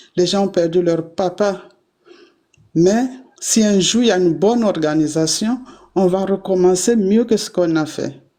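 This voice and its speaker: This woman talks at a fairly slow pace, leaving long, frequent pauses. Her medium-pitched voice has a dark, mellow tone and ordinary pitch variation. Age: 60s. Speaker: activist. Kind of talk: panel discussion.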